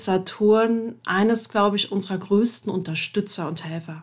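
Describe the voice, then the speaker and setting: Her pitch is medium, with ordinary variation. The woman speaks at a fairly slow pace and sounds somewhat breathy. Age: 30s. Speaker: podcast host and coach. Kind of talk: solo podcast monologue. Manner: casual with frequent fillers.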